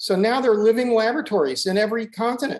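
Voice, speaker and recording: The delivery has an animated tone. Pitch variation is ordinary. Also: man. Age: 60s. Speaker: ecosystem restoration advocate. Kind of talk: conversational interview. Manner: animated, repetitive false starts.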